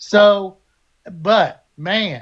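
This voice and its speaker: A man speaks with an Alabama accent. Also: quiet background. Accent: Southern US (Alabama). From US South, Alabama. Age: 60s. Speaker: Navy veteran. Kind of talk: live panel political discussion. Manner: animated.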